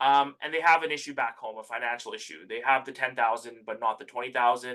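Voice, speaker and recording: A man's medium-pitched voice, bright and sharp, at a very fast pace with ordinary pitch variation. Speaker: immigration advising presenter. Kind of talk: workshop presentation.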